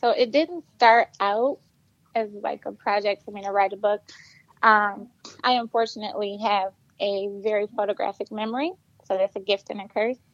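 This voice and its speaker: Using a plain, everyday voice with an American accent, a woman speaks at a fairly high pitch and moderate pace, with ordinary pitch variation and big swings in loudness, in a dry, close sound with no echo. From Flint, Michigan. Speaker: author. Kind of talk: podcast interview, personal testimony.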